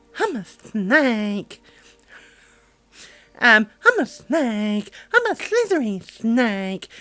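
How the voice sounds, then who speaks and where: A woman puts on a character voice with a fairly high pitch. She goes very slowly, with long, frequent pauses. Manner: silly, slithery.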